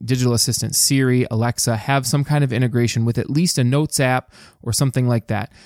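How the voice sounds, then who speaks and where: Upbeat and delivered at a very fast pace, the voice has a dark, mellow tone and an American accent. The recording is very clean with a silent background, and the sound is dry and close with no echo. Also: man. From US Midwest, Dearborn, Michigan. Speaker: podcast host. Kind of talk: solo podcast monologue. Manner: casual, upbeat.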